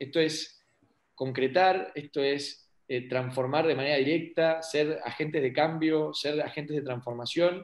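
A man with a normal speaking voice, pitched fairly high, speaks rather slowly and varies his pitch in an ordinary way. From Argentina, Paraná (Entre Ríos). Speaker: local politician. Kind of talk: interview.

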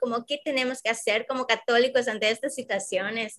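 Her tone is bright and sharp, with fairly even intonation. The woman talks at a moderate pace. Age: 20s. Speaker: podcast co-host, preschool teacher. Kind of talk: casual chat.

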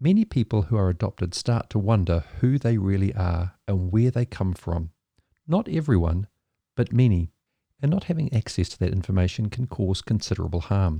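A man talks at a moderate pace in a dark, mellow, somewhat breathy tone with lively intonation. The sound is dry and close, with no echo. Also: fairly low pitch for a man. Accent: New Zealand. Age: 50s. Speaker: podcast host in maritime ministry. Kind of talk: scripted narration.

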